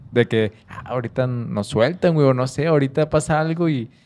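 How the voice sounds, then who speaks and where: A man speaks at a moderate pace in a medium pitch, his tone dark and mellow. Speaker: podcast host. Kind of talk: casual interview.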